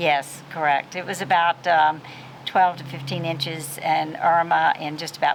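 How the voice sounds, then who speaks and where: A woman with an American accent, very deep and low-pitched, flat and monotone at a moderate pace, amid noticeable background noise. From US South, Nashville, Tennessee. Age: old. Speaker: community leader. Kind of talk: interview. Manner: hesitant, many fillers.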